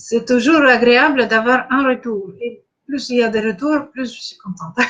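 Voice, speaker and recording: A woman with a Russian accent talks in a high pitch with ordinary pitch variation. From Russia, Saint Petersburg. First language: Russian (speaking French). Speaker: spiritual coach. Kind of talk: live online masterclass. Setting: live stream. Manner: halting, many hesitations.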